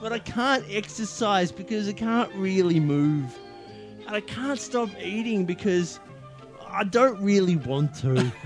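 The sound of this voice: Clear music plays behind a man doing a put-on character voice, wheezy and high-pitched, at a fairly slow pace.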